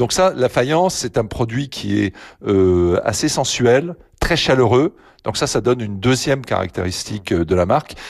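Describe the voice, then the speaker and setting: With very wide pitch swings at a medium pitch, a man speaks at a fairly slow pace over a quiet background. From eastern France, Lunéville. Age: 60s. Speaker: company president. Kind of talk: radio interview. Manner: hesitant, many fillers.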